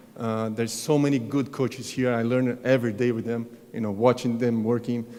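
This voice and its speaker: This speaker has a Brazilian accent and a dark, mellow tone. The delivery is monotone and flat at a fairly quick pace. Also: man. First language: Portuguese. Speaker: tennis coach. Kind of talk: award acceptance speech. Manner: halting.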